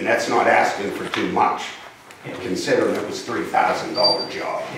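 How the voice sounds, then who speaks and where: A man at a fairly slow pace, with audible room echo and loud background noise. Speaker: resident at public comment. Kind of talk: public comment to council. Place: hall. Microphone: camera far.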